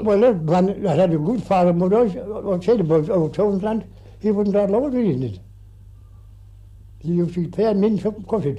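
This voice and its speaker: A man with a rural Irish accent speaks in a dark, mellow tone at a high pitch, with ordinary pitch variation and long, frequent pauses. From Ireland. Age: 80s+. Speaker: farmer. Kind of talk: interview answer. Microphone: old recording.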